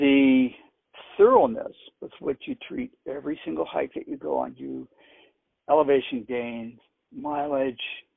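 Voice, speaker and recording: Pausing long and often, a man speaks at a fairly slow pace with big swings in loudness. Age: 60s. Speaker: cancer patient and hiker. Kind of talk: casual interview chat.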